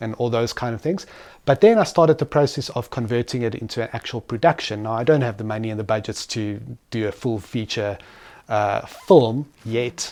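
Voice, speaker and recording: At a fairly quick pace, a man speaks with a South African accent at a medium pitch, with ordinary pitch variation. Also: very clean recording, silent background. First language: Afrikaans. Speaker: entrepreneur. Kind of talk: interview.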